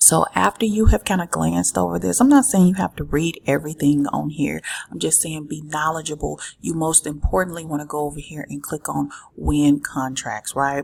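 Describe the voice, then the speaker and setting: A soft-spoken woman talks at a fairly quick pace. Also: big swings in loudness. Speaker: business vlogger. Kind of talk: tutorial. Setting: office.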